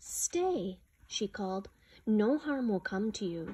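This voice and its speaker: Somewhat breathy, a woman's medium-pitched voice comes at a fairly slow pace. Light background noise sits behind her. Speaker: storyteller reading a picture book aloud. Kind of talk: slow, solemn reading aloud of a legend, with a hushed, reverent storybook tone. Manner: measured and dramatic, pausing for effect. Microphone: phone near.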